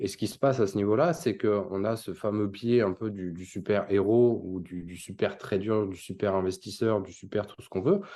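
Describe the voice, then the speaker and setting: Against a quiet background, a man with a fairly low, dark and mellow voice talks at a moderate pace with ordinary pitch variation. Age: 30s. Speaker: crypto investment company founder. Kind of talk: interview.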